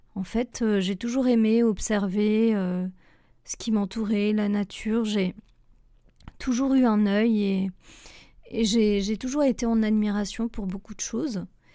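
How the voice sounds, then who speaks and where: Very slow speech from a woman with a fairly high, dark, mellow voice, fairly even intonation and long, frequent pauses. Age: 30s. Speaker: graphic designer and trainer. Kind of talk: personal podcast monologue. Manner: hesitant, many fillers.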